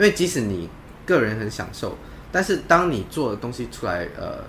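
A man's medium-pitched voice with very wide pitch swings over noticeable background noise. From Malaysia. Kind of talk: interview.

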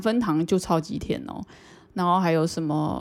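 A woman's unremarkable speaking voice, fairly low, at a moderate pace with ordinary pitch variation, on a very clean recording with a silent background. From Taiwan, Banqiao (New Taipei). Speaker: podcast co-host. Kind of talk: casual chat.

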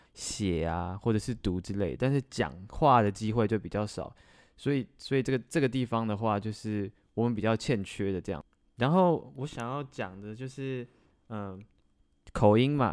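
A man with a plain, everyday voice, fairly low in pitch, at a moderate pace with lively intonation, in a very clean recording with a silent background. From Taiwan. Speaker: podcast co-host. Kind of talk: casual chat.

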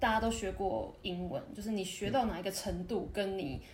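A woman talks at a moderate pace amid noticeable background noise and audible echo from the room. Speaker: retail and service worker in Japan. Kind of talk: casual interview chat.

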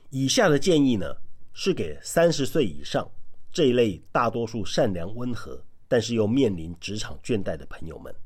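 A man talks at a moderate pace with vocal fry. His medium pitch makes very wide swings. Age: 40s. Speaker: podcast host, author and former salesperson. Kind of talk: monologue giving career advice.

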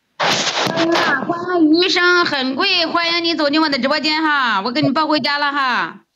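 A woman speaks at a high pitch in a raised, projected voice, at a moderate pace. Her loudness stays very even, with hardly any pauses. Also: ordinary pitch variation. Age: 50s. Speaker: rural livestreamer, farmer. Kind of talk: casual livestream chat.

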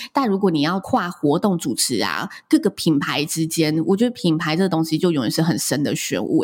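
Fairly low in pitch, a woman speaks in a plain, everyday voice at a fairly quick pace, with lively intonation and hardly any pauses. The recording is very clean, with a silent background. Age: 30s. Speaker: wedding and event host, podcaster. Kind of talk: interview.

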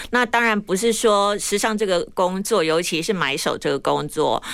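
A woman's voice carries vocal fry. Her intonation is lively. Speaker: fashion influencer, breast cancer survivor. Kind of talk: interview. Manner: slow.

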